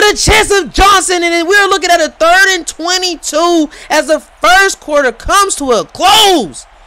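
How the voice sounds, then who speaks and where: Shouting in a bright, sharp tone, a man uses ordinary pitch variation. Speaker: sports play-by-play commentator. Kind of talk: live commentary. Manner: loud; animated.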